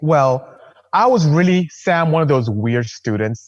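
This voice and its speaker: This man speaks with a Nigerian accent. His pitch is fairly high and his intonation lively. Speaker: engineer and car builder. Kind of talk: casual chat.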